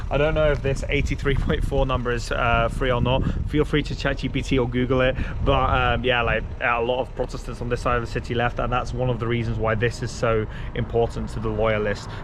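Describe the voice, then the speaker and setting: A man speaks at a fairly quick pace. Noticeable background noise and audible room echo are present. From Belgium. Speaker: travel vlogger. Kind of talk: casual travel vlog narration.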